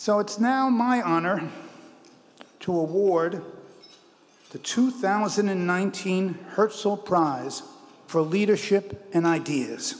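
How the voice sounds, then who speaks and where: A man speaks at a high pitch with ordinary pitch variation. His pace is very slow, with long, frequent pauses. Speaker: award presenter. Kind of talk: ceremonial speech. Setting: stage with audience. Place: hall. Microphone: podium.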